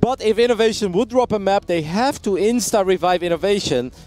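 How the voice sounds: A man with a high pitch and ordinary pitch variation talks at a fairly quick pace in a slightly mellow tone.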